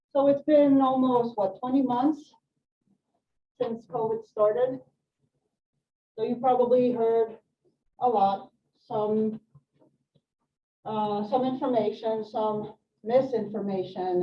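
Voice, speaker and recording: Pausing long and often, a woman speaks at a very slow pace in a fairly high pitch with ordinary pitch variation. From France (Swedish mother). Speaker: nurse educator. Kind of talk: health presentation to live audience. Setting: room with live audience.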